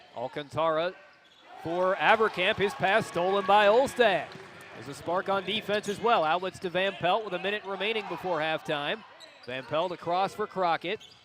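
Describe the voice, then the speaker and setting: Amid noticeable background noise, a man speaks with a high pitch and ordinary pitch variation. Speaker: sports play-by-play announcer. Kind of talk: basketball play-by-play commentary. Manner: fast, energetic.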